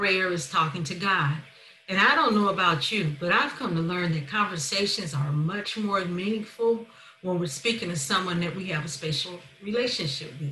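Amid light background noise and audible room echo, a woman talks at a moderate pace. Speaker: minister giving a talk. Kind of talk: sermon. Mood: warm, earnest. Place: home room. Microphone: webcam.

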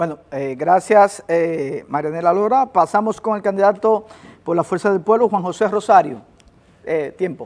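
A man talks in a high voice. His pace is fairly slow. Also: ordinary pitch variation. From Dominican Republic. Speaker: TV host and debate moderator; TV host, debate moderator. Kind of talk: debate moderation. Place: studio. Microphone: lapel.

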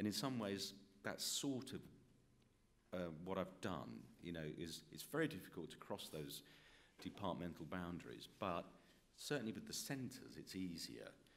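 Long, frequent pauses break up a man's very deep, low voice, which carries vocal fry, very wide pitch swings and a British accent. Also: moderate pace. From UK. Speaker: professor, former journalist. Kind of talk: panel discussion. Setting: stage with audience. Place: meeting room. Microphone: podium.

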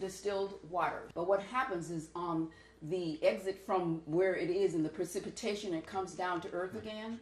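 A woman talks at a moderate pace and medium pitch, her intonation fairly even. Room echo is audible. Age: 70s. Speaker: raw vegan health advocate. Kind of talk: interview answer. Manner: emphatic, chatty. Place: kitchen. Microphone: camera far.

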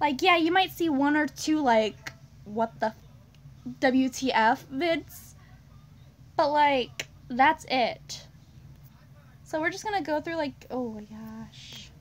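At a very slow pace, a woman with a high pitch and ordinary pitch variation speaks with long, frequent pauses. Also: big swings in loudness. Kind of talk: casual vlog chat. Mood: amused, slightly awkward. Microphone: phone near.

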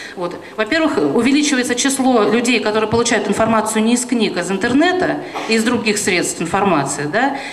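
The speech moves at a fairly quick pace, with light background noise and audible room echo. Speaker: round-table panelist. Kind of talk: panel discussion. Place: hall. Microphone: handheld.

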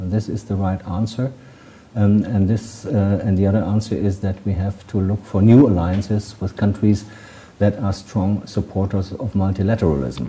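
The speaker has a German accent and fairly even intonation. The pace is moderate. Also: man, fairly low pitch for a man. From Germany. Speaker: ambassador; interviewee. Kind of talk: interview. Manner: hesitant, many fillers. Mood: calm, measured. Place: office.

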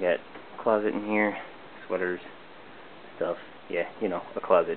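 A man talks at a moderate pace. Light background noise sits behind his voice. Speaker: entry-level web designer. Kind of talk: casual video tour narration. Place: home room. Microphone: phone near.

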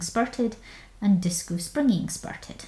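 Over noticeable background noise, a woman with a Scottish accent talks at a very slow pace. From Scotland. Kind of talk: casual talk while screen recording.

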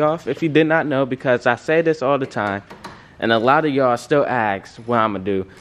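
Noticeable background noise runs behind a man speaking with lively intonation. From Michigan. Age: 20s. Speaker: car vlogger. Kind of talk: casual vlog. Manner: animated. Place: garage. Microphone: phone near.

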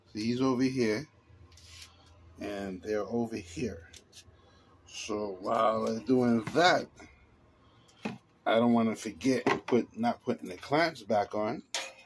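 Speaking very slowly with long, frequent pauses and ordinary pitch variation, a man is heard over noticeable background noise. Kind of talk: casual vlog chat. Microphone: phone near.

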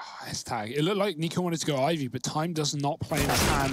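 A man speaks in a London accent at a fairly quick pace. His pitch varies in an ordinary way. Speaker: esports commentator. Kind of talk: live commentary. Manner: fast.

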